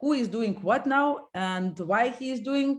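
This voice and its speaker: A woman speaks with a Lithuanian accent and lively intonation. The recording is very clean, with a silent background. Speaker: company co-founder and executive. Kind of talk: interview. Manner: halting.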